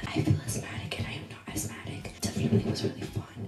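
A woman at a fairly quick pace over loud music in the background. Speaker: vlogger. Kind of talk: casual ASMR snack-tasting vlog chat. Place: home room.

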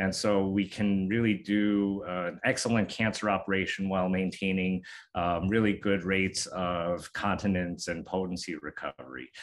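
A man with a very deep, low pitch speaks at a moderate pace with fairly even intonation. He leaves hardly any pauses, and the background is quiet. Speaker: urologic surgeon. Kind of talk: interview answer. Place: office. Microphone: webcam.

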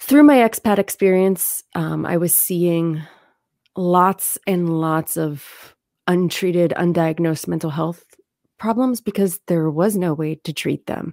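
Talking at a fairly slow pace in an American accent, a woman with a fairly low pitch and a dark, mellow tone uses ordinary pitch variation in a dry sound with no echo against a quiet background. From Lancaster County, Pennsylvania; Pennsylvania. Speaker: therapist, clinical social worker; guest. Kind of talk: interview. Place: home room. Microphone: studio mic.

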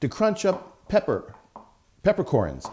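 Moderate pace and a dark, mellow tone from a man. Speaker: cooking English teacher. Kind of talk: tutorial. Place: kitchen.

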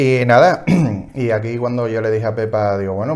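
A man talks with an Andalusian accent. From Seville, Andalusia. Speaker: knitting podcast co-host; podcast co-host. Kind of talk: casual chat. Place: home room. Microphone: lapel.

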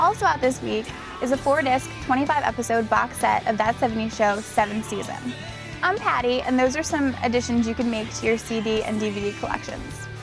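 A woman talks at a moderate pace with ordinary pitch variation. The sound is dry with no echo, and clear music plays in the background. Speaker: presenter. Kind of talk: entertainment news presenting. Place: open country. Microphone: lapel.

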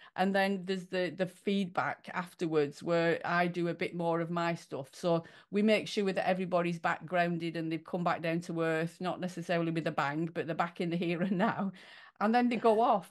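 A woman with a normal speaking voice, fairly low in pitch, at a moderate pace with fairly even intonation against a quiet background. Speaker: podcast host. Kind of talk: interview conversation. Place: home room. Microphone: webcam.

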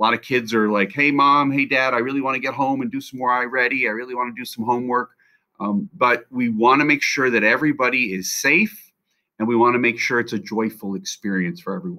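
A man talks at a very fast pace in a bright, sharp tone with ordinary pitch variation. The background is quiet. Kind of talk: announcement to parents. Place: office. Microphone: webcam.

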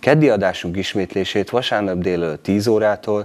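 A man with a normal speaking voice talks at a moderate pace and a fairly low pitch, with ordinary pitch variation. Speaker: local TV announcer. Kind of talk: news reading. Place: studio.

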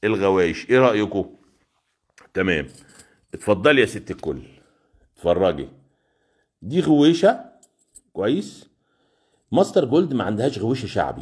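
A man with an Egyptian accent speaks at a fairly low pitch, with vocal fry and very wide pitch swings. He leaves long, frequent pauses against a quiet background. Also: moderate pace. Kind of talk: live sales stream. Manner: animated. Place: shop. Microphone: phone near.

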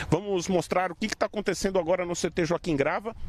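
A high-pitched man's voice in a dry sound with no echo. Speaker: TV sports reporter. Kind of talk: live news report. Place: stadium. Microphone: handheld.

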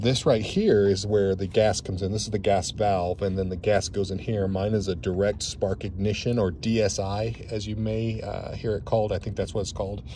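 A man with a fairly low, dark, mellow and somewhat breathy voice talks at a fairly quick pace with hardly any pauses and fairly even intonation, in a dry sound with no echo and light background noise. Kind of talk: casual walkthrough tour. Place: open country. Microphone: phone near.

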